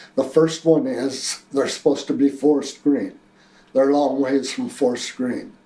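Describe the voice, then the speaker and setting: A man with a fairly high pitch and an American accent, amid noticeable background noise. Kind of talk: personal testimony. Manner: halting, with fillers.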